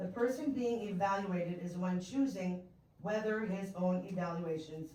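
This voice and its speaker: A woman's medium-pitched voice at a moderate pace, with ordinary pitch variation and audible room echo. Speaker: resident giving public comment. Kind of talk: public comment at council meeting. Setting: city council meeting.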